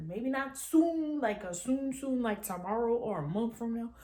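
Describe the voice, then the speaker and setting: A woman speaks with lively intonation in a dark, mellow tone. Her voice is somewhat breathy. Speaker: YouTuber. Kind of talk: casual vlog monologue. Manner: fast.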